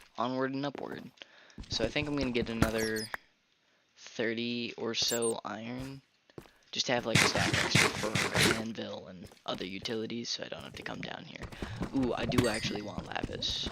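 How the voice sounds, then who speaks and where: There is noticeable background noise as a man talks at a moderate pace and medium pitch. His intonation is fairly even, with long, frequent pauses. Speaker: gaming streamer. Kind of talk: live gameplay commentary. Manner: halting, delaying on words.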